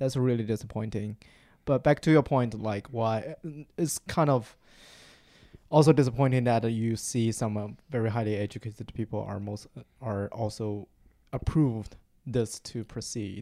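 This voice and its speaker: In a Chinese accent, a man with a dark, mellow tone and fairly even intonation leaves long, frequent pauses in a very clean recording with a silent background. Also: medium pitch for a man, moderate pace. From China. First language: Mandarin Chinese. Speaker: marketing program coordinator. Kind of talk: interview. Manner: halting.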